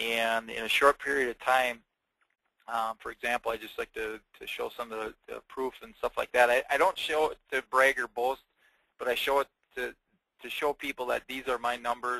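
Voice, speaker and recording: A man's bright, sharp, medium-pitched voice in a Wisconsin accent, flat and monotone, with a dry, close sound and no echo. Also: moderate pace, big swings in loudness. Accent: northern US, Wisconsin. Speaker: insurance agent. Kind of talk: webinar presentation. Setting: webinar. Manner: casual, many fillers; laid-back.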